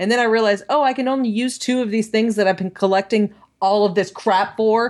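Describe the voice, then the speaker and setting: A woman speaks at a fairly quick pace in an ordinary speaking voice, her pitch fairly high and her intonation fairly even. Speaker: podcast host. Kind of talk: casual chat.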